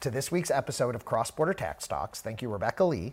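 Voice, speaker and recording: A man's somewhat breathy voice with lively intonation at a fairly quick pace, in a very clean recording with a silent background. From US Midwest (Missouri). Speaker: podcast host, tax firm leader. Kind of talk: technical discussion on a podcast. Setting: studio.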